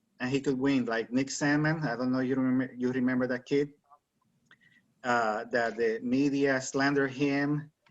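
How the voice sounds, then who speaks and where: With a Spanish accent, a man speaks at a moderate pace in a medium pitch. His intonation is monotone and flat. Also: very even loudness. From Puerto Rico. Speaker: author. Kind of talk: interview.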